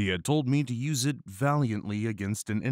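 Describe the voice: The text is read aloud plainly. Its pitch moves in an ordinary way.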